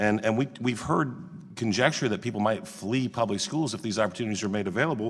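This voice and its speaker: At a very fast pace, a man speaks at a medium pitch with ordinary pitch variation and very even loudness. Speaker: congressman at a hearing. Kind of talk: committee hearing questioning. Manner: formal.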